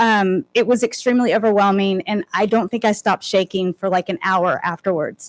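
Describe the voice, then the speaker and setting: The woman's voice sits at a medium pitch with ordinary pitch variation and a moderate pace. The sound is dry and close with no echo, on a very clean recording with a silent background. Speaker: parent public commenter. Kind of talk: public comment speech. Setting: school board meeting. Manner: loud.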